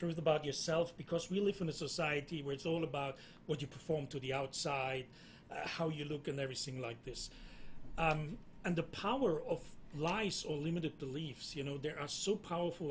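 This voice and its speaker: Speaking at a fairly quick pace with a German accent, a man uses a fairly high pitch for a man and ordinary pitch variation. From Germany. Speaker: entrepreneur. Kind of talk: panel discussion.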